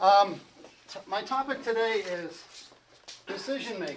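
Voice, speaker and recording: Mumbling with lively intonation, a man is heard in audible room echo with noticeable background noise. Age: old. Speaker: glider racing pilot and seminar speaker. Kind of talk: seminar talk. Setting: seminar room with audience. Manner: halting, many fillers.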